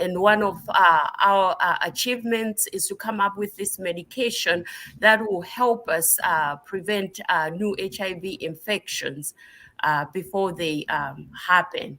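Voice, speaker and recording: With a Southern African accent, a woman speaks at medium pitch and a fairly slow pace. Her tone is bright and sharp, with ordinary pitch variation. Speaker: nurse practitioner and researcher. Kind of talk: interview. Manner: halting, many fillers.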